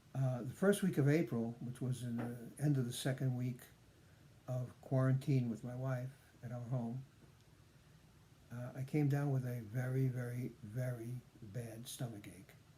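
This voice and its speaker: A man with a somewhat breathy, dark, mellow tone speaks at a medium pitch and moderate pace, keeping his intonation fairly even and leaving long, frequent pauses. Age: 70s. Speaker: patient sharing recovery story. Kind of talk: personal testimony vlog. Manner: halting, many fillers.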